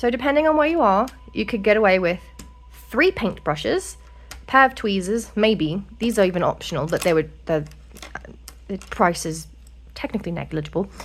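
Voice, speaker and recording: With music playing in the background, a woman speaks in very wide pitch swings, leaving long, frequent pauses. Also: medium pitch for a woman. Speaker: miniature painting YouTuber. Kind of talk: tutorial. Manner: fast; rambling, casual.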